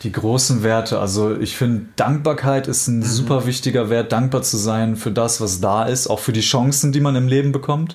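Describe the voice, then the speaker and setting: Using an ordinary speaking voice, a man talks at a moderate pace with fairly even intonation and very even loudness. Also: medium pitch for a man. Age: 30s. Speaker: life coach. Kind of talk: casual interview.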